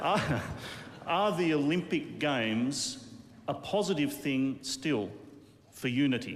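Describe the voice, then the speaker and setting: A man with an Australian accent speaks very slowly, with long, frequent pauses, at a fairly high pitch and ordinary pitch variation, his loudness very even, against noticeable background noise and audible room echo. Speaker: television interviewer. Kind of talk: interview. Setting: live television.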